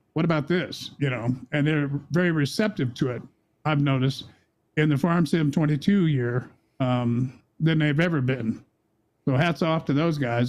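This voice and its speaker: A man with an American accent and an ordinary speaking voice, fairly high in pitch, at a fairly quick pace with fairly even intonation. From US Midwest, Kansas City suburbs. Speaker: video game streamer. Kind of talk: casual interview chat.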